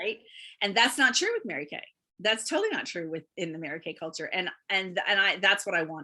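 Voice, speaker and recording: With a bright, sharp tone, a woman talks at a fairly quick pace in an animated way, her intonation lively and her loudness swinging widely. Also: medium pitch for a woman. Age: 60s. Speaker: beauty consultant, guest sharing her story. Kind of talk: interview testimony.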